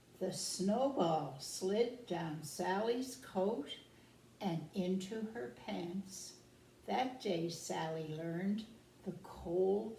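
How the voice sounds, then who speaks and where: A woman's very slow speech, with audible room echo and noticeable background noise. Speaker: care home resident. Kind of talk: reading aloud.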